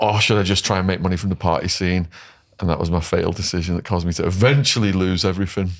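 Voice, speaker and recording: On a very clean recording with a silent background, a man with an English accent talks very fast in a very deep, low pitch with fairly even intonation. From England. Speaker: former drug dealer turned author. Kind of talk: interview.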